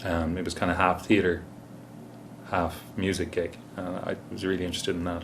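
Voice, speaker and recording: Speaking in an Irish accent at a very deep, low pitch, a man keeps a moderate pace with long, frequent pauses. His intonation is monotone and flat, and audible room echo surrounds him. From Ireland. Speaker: musician. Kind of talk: interview. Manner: hesitant, many fillers.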